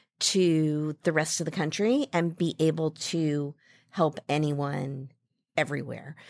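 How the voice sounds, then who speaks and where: A woman's normal speaking voice, fairly low in pitch and fairly slow, on a very clean recording with a silent background and a dry, close sound with no echo. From US Midwest (Ames, Iowa). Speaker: marketing executive. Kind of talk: interview.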